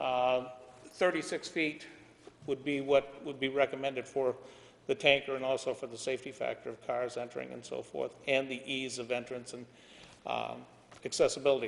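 A man talks at a moderate pace in a monotone, flat intonation with vocal fry, long, frequent pauses and big swings in loudness. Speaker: applicant representative. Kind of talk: formal presentation to a board. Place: meeting room. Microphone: camera far.

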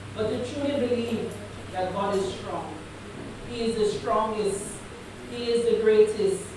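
A woman at a fairly slow pace, with strong room echo and noticeable background noise. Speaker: guest preacher. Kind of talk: prayer. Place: church.

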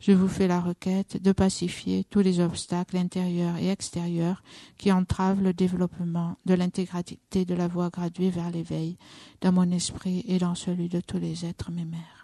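Fairly low-pitched and somewhat breathy, a woman talks at a fairly slow pace in a dark, mellow tone with monotone, flat intonation. The background is quiet, and the sound is dry and close with no echo. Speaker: Buddhist nun leading meditation. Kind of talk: guided meditation. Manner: slow, calm, measured, with pauses.

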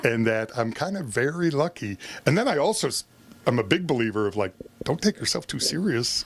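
At a fairly quick pace, the voice moves through very wide pitch swings. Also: man. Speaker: circus ringmaster. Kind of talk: interview answer. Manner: upbeat.

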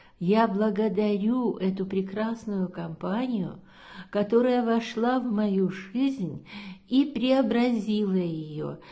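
A woman's very slow, somewhat breathy voice with a fairly high pitch and a dark, mellow tone, over a quiet background. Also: ordinary pitch variation. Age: 70s. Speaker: product testimonial giver, yoga trainer. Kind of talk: testimony. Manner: hesitant, with filler sounds. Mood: warm, enthusiastic, grateful. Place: home room. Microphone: phone near.

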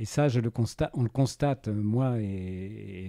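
Clean, silent-backed audio of a man with a somewhat deep voice and typical pitch movement. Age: 60s. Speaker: retired journalist and bird photographer. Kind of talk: interview. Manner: halting.

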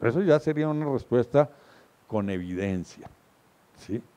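This man's dark, mellow tone carries a lively intonation. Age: old. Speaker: columnist and speaker; speaker. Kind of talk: lecture. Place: hall. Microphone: handheld.

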